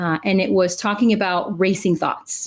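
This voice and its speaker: A woman speaks at a moderate pace with fairly even intonation in a Spanish accent. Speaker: clinical psychologist, podcast co-host. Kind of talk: casual podcast chat. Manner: frequent fillers 'uh'.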